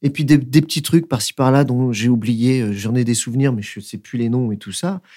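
In a very clean recording with a silent background, a man with a dark, mellow tone and a medium pitch talks at a fairly quick pace with ordinary pitch variation. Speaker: dancer and choreographer. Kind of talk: casual interview. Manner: hesitant, many fillers.

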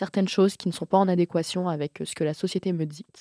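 Recorded very cleanly against a silent background, a woman with a fairly low pitch and a dark, mellow tone talks at a moderate pace in a dry, close sound with no echo. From Le Mans, France. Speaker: podcaster. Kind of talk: casual chat.

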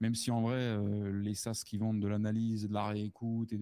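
The voice belongs to a man with a medium pitch. His tone is dark and mellow. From France. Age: 30s. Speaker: sales prospecting consultant. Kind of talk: casual interview. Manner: casual, halting with repetitions.

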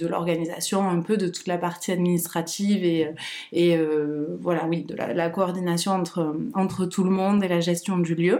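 Speaking at a fairly slow pace, a woman uses a fairly low pitch, a dark, mellow tone and fairly even intonation. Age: 30s. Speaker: founder of a perinatal centre. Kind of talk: casual interview. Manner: hesitant, many fillers and repetitions.

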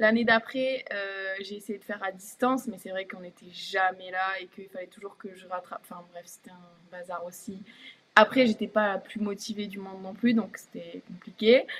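A woman with a normal speaking voice talks at a moderate pace, her intonation fairly even but her loudness swinging widely. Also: medium pitch for a woman. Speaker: professional basketball player. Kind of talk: casual interview. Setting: live stream.

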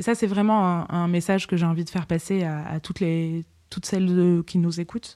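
In a very clean recording with a silent background, a woman speaks. Her fairly low voice stays monotone, with flat intonation. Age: 30s. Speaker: psychotherapist, patient telling her story. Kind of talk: testimony. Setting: her apartment. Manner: articulate, with hesitations.

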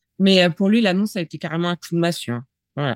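Recorded dry and close with no echo, a woman speaks with a fairly low pitch and ordinary pitch variation. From northern Paris region, France. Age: 40s. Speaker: interviewee sharing abuse story. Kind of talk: testimony. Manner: halting, many hesitations.

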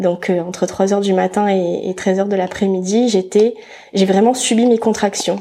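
A woman speaks at a moderate pace in a flat, monotone delivery at a medium pitch, with noticeable background noise. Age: 20s. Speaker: mother telling her birth story. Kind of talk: personal testimony interview.

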